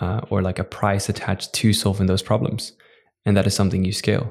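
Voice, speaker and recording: A fairly quick, monotone, flat-voiced man with a Dutch accent, fairly low pitch and a dark, mellow tone, on a very clean recording with a silent background. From Netherlands. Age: 20s. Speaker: entrepreneur. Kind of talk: interview.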